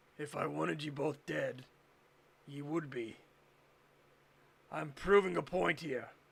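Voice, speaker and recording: Using a raspy put-on character voice at a fairly high pitch, a man leaves long, frequent pauses. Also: fairly slow pace. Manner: strained, deliberate.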